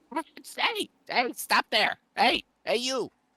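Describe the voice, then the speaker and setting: This is a put-on character voice. It is high-pitched and shrill. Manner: commanding, shouting a challenge.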